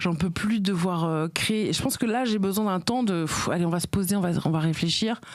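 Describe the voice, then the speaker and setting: Over noticeable background noise, a woman at a medium pitch talks fairly quickly with hardly any pauses, very even loudness and ordinary pitch variation. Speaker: comedian and podcaster. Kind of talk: interview answer.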